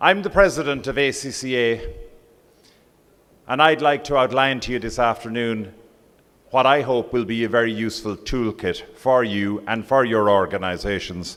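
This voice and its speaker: A man with an Irish accent at a moderate pace, with ordinary pitch variation. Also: medium pitch for a man. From Ireland. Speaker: professional body president. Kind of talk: conference speech. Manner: formal.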